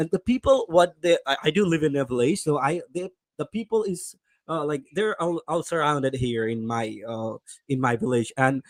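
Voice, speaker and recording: A man with an American accent speaks with a fairly high pitch and lively intonation. The sound is dry and close, with no echo. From Bangladesh. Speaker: English learner. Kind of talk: casual chat. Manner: fast.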